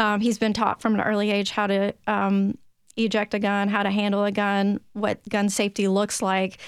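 A woman with a Tennessee accent speaks at a medium pitch and a moderate pace on a very clean recording with a silent background. Her intonation is monotone and flat, and her loudness stays very even. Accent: Tennessee twang. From Tennessee (Williamson County). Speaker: gun safety advocate, parent. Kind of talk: interview testimony.

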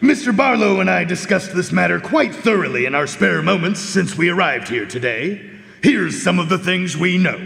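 A man does a put-on character voice at a high pitch and a fairly quick pace. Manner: polite, precise, deliberate.

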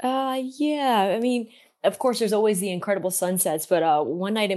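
A woman with a plain, everyday voice, lively intonation and a fairly quick pace against a quiet background. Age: 40s. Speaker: van life content creator. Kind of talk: interview. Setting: remote interview.

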